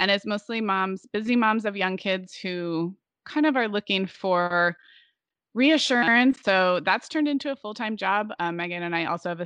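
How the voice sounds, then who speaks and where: In a Californian accent, the voice has a bright, sharp tone and moderate pace with ordinary pitch variation, recorded dry and close with no echo against a quiet background. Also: woman. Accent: Californian American. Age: 40s. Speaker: podcaster and podcast producer. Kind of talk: interview conversation.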